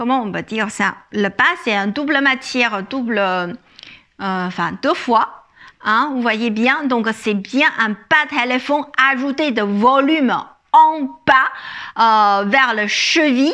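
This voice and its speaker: Speaking with a Chinese accent at a very slow pace, a woman with a high pitch and a bright, sharp tone uses lively intonation, big swings in loudness, and long, frequent pauses. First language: Chinese (speaking French). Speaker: image consultant. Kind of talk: fashion haul video. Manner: halting, many fillers.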